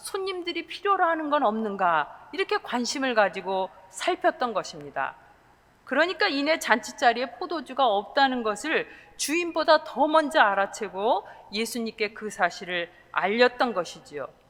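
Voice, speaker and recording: A woman with a high pitch speaks at a moderate pace, her pitch swinging very widely. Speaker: pastor. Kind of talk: sermon.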